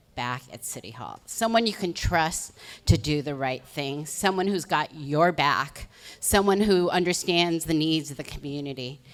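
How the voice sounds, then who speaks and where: Captured on a very clean recording with a silent background, a woman with a plain, everyday voice speaks at a fairly low pitch and a fairly slow pace, with lively intonation. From Los Angeles, Koreatown area. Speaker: political candidate. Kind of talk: candidate opening statement.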